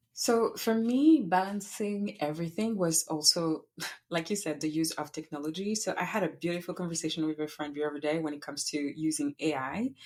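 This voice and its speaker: A woman with a French accent, fairly low in pitch, at a fairly quick pace with ordinary pitch variation. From France, Paris. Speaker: podcast creator and entrepreneur. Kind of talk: interview conversation. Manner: gentle.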